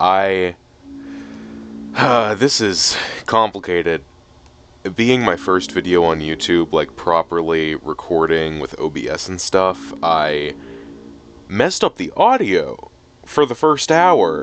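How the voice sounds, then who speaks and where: A man with a very deep, low pitch swings very widely in pitch, speaking very slowly with long, frequent pauses over noticeable background noise. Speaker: gaming YouTuber. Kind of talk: casual gameplay commentary. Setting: home recording, low quality mic.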